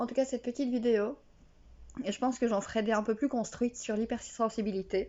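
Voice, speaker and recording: A woman with a fairly high pitch talks fairly quickly, keeping her intonation fairly even. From Belgium. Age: 30s. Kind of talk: casual talk to camera. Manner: unprepared, raw, emotional.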